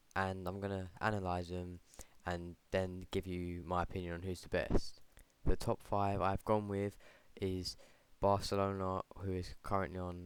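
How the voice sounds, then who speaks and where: On a very clean recording with a silent background, a soft-spoken man with a very deep, low pitch talks at a moderate pace in a flat monotone. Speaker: football vlogger. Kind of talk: casual vlog commentary. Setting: at home late at night. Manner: quiet, soft-spoken.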